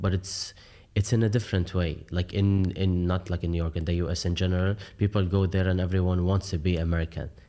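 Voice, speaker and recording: Speaking with an Arabic accent, a man uses a very deep, low pitch and a dark, mellow tone, talking at a fairly quick pace in monotone, flat intonation. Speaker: coffee shop owner. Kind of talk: podcast interview. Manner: frequent fillers, hesitant.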